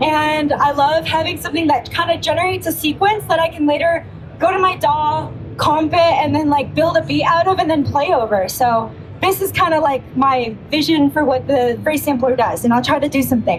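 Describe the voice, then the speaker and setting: Through noticeable background noise, a woman talks at a fairly quick pace in a high voice with ordinary pitch variation and very even loudness. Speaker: guitarist demoing a signature pedal. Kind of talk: product demo at trade show booth. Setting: trade show floor with loud playing nearby. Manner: loud, raised voice over noise; casual, many fillers.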